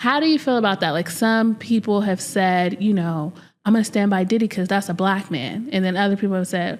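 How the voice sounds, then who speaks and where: Speaking at a fairly quick pace with an American accent, this is an unremarkable speaking voice with ordinary pitch variation, recorded very cleanly against a silent background. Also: woman. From California. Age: young. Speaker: podcast host. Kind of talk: podcast interview.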